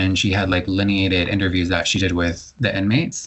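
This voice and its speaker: In a plain, everyday voice, a man with an American accent speaks at a fairly quick pace in a fairly low pitch. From Florida, Largo in Pinellas County. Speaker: poet and journalist. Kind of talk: interview conversation. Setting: podcast interview.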